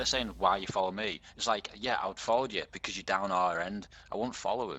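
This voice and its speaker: Delivered at a fairly quick pace with a British accent, the voice has a bright, sharp tone, vocal fry and lively intonation. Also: man, fairly low pitch for a man. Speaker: roleplay gamer. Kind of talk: in-character roleplay chat.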